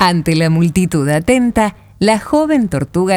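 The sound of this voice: Lively intonation in an unforced reading voice.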